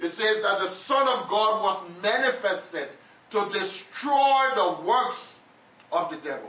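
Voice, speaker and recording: With an animated tone and ordinary pitch variation, a man with a high voice speaks fairly slowly over noticeable background noise. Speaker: preacher. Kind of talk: sermon. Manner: call-and-response.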